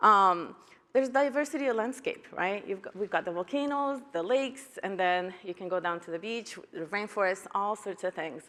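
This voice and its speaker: This woman speaks at a moderate pace with a Spanish accent, a medium pitch, and lively intonation. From Guatemala. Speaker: educator, keynote speaker. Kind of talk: conference keynote talk.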